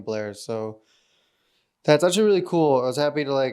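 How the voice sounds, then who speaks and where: A man's voice with ordinary pitch variation, on a very clean recording with a silent background. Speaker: aspiring novelist / vlogger. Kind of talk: casual vlog monologue. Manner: loud; hesitant, many fillers.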